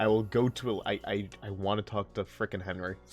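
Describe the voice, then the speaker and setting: A man speaks with music in the background. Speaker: let's play commentator. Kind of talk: casual gameplay commentary.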